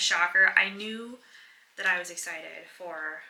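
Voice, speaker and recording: Soft-spoken, a woman talks with a fairly low pitch and fairly even intonation. Noticeable background noise is present. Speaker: book vlogger. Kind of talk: casual vlog talk to camera.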